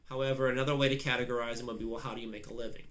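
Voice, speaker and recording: A man at a medium pitch is heard with audible room echo. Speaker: biology instructor. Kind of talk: lecture. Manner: fast; halting, many fillers.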